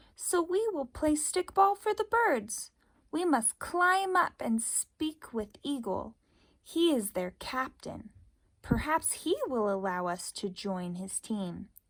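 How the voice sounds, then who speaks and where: Using a put-on character voice, a woman speaks fairly slowly in a high, shaky tone with very wide pitch swings. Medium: read story. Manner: timid, trembling.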